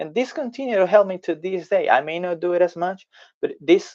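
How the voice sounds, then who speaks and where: With a Spanish accent, a man speaks at a moderate pace. His pitch rises and falls in an ordinary way. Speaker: language tutor. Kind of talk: tutorial; storytelling language lesson. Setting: live video stream.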